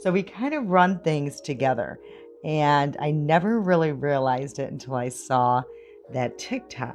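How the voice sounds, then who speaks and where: Music plays in the background as a woman speaks with a Michigan accent. Her very deep, low voice moves at a fairly slow pace with lively intonation. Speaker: beauty vlogger. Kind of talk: makeup tutorial chat. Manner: casual, many filler words.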